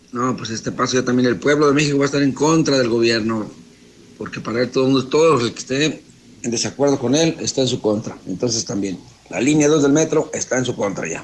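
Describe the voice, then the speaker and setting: A man's medium-pitched voice, with ordinary pitch variation, moves at a fairly quick pace. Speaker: radio news host. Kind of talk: news talk show with opinion. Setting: radio studio, simulcast on TV. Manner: emphatic, repetitive.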